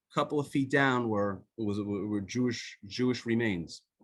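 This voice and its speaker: A man with an Israeli accent. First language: Hebrew. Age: 50s. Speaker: author. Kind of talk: talk. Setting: video call. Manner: halting.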